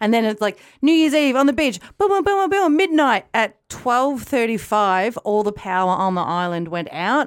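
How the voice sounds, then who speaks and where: Speaking with an Australian accent, a woman's voice shows very wide pitch swings. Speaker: podcast host. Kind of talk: casual chat.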